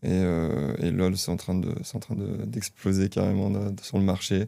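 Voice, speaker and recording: A man's very deep, low pitch carries a dark, mellow tone. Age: 20s. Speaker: software entrepreneur. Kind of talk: podcast interview. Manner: hesitant, many fillers.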